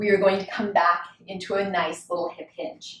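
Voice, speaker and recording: Her speech is flat and monotone, and the woman sits at a medium pitch. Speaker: pilates instructor. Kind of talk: guided workout instruction. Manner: counting rhythmically.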